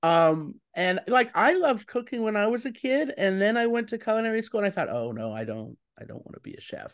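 A high-pitched man talks at a fairly quick pace with lively intonation. His loudness swings widely. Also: quiet background. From Colorado. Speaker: podcast host and food editor. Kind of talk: interview.

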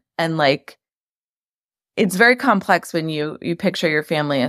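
Her voice is very deep and low for a woman, with lively intonation. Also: dry, close sound with no echo, very clean recording, silent background. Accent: New York. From New York, Queens. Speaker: media company co-founder. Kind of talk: interview.

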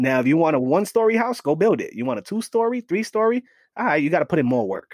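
A man talks at a very fast pace with a New York accent, his pitch swinging very widely. The recording is very clean, with a silent background and a dry, close sound with no echo. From New York City, the Bronx. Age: 40s. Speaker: fatherhood advocate. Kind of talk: casual chat. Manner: animated.

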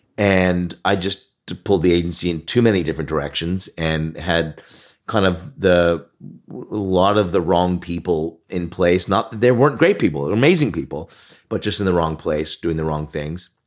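In a very clean recording with a silent background, a man with a Canadian accent speaks at a moderate pace, his very deep, low pitch varying in an ordinary way. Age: 50s. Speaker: marketing agency founder and author. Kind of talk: casual interview chat. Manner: halting with fillers.

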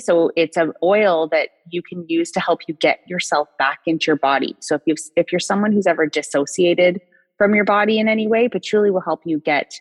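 With music in the background, a woman talks at a fairly quick pace. Her pitch is fairly low, and her intonation is lively. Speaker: essential oils consultant and former nurse. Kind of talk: casual interview chat. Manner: halting.

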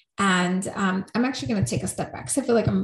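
Somewhat breathy, a woman's voice carries lively intonation. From New York, Puerto Rican family. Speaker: coach and speaker. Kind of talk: interview.

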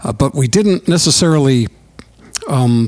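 A man with an American accent speaks fairly slowly with lively intonation. Noticeable background noise runs underneath. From US Midwest. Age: 70s. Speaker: musician. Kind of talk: casual interview. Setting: recording studio.

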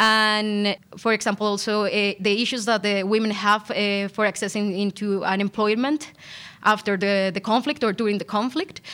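A woman with a Spanish accent speaks at a medium pitch in a bright, sharp tone. Her intonation stays fairly even at a moderate pace. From Colombia. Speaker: PhD law student. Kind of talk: academic interview. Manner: halting, many fillers.

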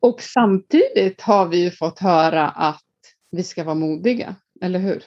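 This woman speaks at a fairly slow pace. Her pitch is medium, with ordinary variation. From Iceland. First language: Icelandic (speaking Swedish). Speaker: leadership coach. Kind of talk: casual interview.

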